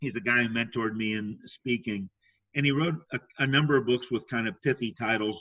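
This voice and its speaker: At a fairly quick pace, an ordinary speaking voice comes through with ordinary pitch variation. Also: man, medium pitch for a man. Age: 60s. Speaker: sales trainer and speaker. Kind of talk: casual chat. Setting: podcast interview.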